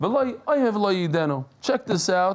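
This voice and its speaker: At a very slow pace, a high-pitched man with a New York accent speaks with lively intonation. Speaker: Talmud teacher. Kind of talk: Talmud lesson. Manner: animated.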